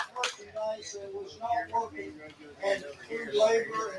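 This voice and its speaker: Over noticeable background noise, a man speaks at a high pitch and a fairly slow pace with ordinary pitch variation. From West Virginia. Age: 80s+. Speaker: local volunteer. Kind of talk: personal anecdote at ceremony.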